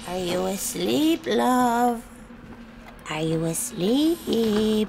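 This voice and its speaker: A woman's cartoonish character voice, fairly high and very slow, with very wide pitch swings over clear background noise. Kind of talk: read story. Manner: sweet turning angry.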